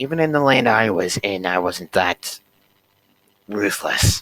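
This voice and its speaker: Using a put-on character voice, a raspy man with a medium pitch speaks at a fairly slow pace with lively intonation, the sound dry and close with no echo. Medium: game stream.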